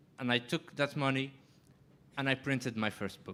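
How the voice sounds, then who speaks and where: In a French accent, a man talks at a moderate pace. His pitch is fairly high. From Morocco. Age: 20s. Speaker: writer. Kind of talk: panel discussion.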